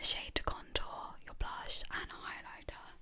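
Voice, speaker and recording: Over noticeable background noise, a woman's whisper unfolds at a fairly slow pace. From Sri Lankan. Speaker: ASMR makeup creator. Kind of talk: ASMR makeup tutorial.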